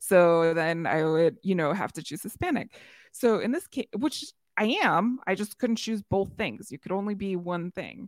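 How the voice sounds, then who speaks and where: A woman with an American accent speaks at a moderate pace and medium pitch, with an animated tone and lively intonation, on a very clean recording with a silent background and a dry, close sound with no echo. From US Midwest. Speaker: podcaster. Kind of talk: casual interview. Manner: animated, laughs often.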